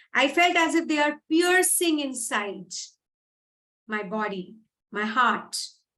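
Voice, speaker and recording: Speaking with an Indian accent, a woman uses lively intonation at a fairly slow pace. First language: Hindi. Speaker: English speaking coach. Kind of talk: motivational talk.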